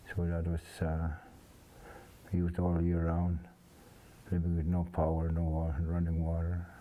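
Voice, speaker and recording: A man speaks at a moderate pace with a very deep, low pitch and a dark, mellow tone, his intonation monotone and flat, with long, frequent pauses. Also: very even loudness. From Saskatchewan, Canada (First Nations reserve). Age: 70s. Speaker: elder. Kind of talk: oral history interview. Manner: halting.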